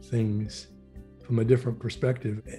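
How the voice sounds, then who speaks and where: Music plays in the background as a man with a Pacific Northwest accent speaks at medium pitch in a monotone, flat intonation. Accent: Pacific Northwest American. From Portland, Oregon. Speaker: former legislative chief of staff and tech lobbyist. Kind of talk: oral history interview answer.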